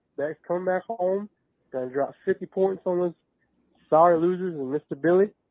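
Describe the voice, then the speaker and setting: Speaking in an American accent, a man uses a high pitch with ordinary pitch variation. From Athens, Georgia. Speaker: voicemail caller, college football fan. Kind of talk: fan voicemail rant. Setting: phone voicemail. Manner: animated.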